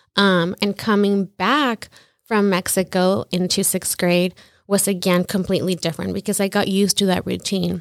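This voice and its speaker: A woman with an American accent speaks in an unremarkable speaking voice at a medium pitch and moderate pace, with fairly even intonation, very even loudness and a dry, close sound with no echo. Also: very clean recording, silent background. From Salinas, California. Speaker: massage studio owner and former teacher. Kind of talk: casual interview chat.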